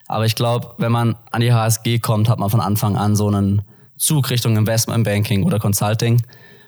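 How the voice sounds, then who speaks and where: In a very clean recording with a silent background, an ordinary speaking voice moves at a moderate pace with very even loudness and fairly even intonation. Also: man, medium pitch for a man. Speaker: business student and former banker. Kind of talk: podcast interview. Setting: studio, sitting opposite the host.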